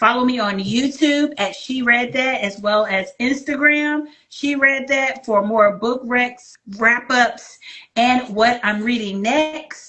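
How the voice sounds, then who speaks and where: With an American accent, a woman talks at a very slow pace in a high pitch, her pitch varying in an ordinary way. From Virginia. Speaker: book channel host. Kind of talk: interview.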